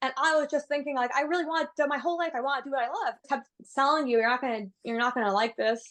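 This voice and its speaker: A woman with an American accent speaks at a very fast pace. Her pitch is high. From New York City. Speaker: yoga instructor and nutritionist. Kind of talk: casual chat. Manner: slurred enunciation.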